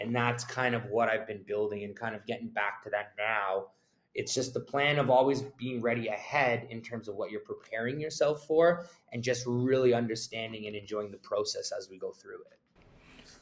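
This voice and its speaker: A man with a Canadian accent speaks at a moderate pace, his intonation fairly even but his loudness swinging widely. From Canada. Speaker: real estate agent; guest. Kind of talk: casual interview. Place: office. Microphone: video call.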